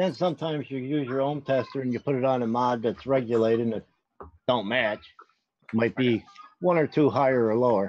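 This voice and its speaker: With a northern US accent, a man talks at a fairly quick pace in a medium pitch with ordinary pitch variation. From Pennsylvania. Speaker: vaping show co-host. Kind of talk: tutorial.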